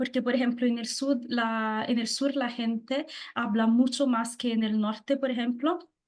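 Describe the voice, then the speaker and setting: A woman speaks at a high pitch in a flat monotone. The background is quiet. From southern Italy, Naples. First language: Italian (speaking Spanish). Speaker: guest. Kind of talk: interview. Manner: halting, many fillers; loud.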